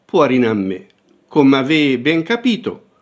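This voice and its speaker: At a very slow pace, a man speaks at medium pitch with lively intonation. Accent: Tuscan. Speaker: professor. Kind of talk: dialect poetry reading.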